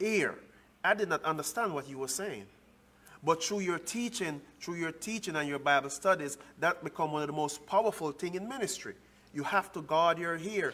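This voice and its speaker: A man with a Jamaican accent talks at a moderate pace. His pitch is high, with ordinary variation. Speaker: relationship show co-host. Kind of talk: casual chat. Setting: church.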